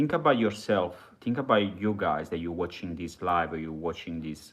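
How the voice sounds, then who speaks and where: This man speaks with an Italian accent. His pitch is very deep and low. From Italy. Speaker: live streamer. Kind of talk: live stream monologue. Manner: halting.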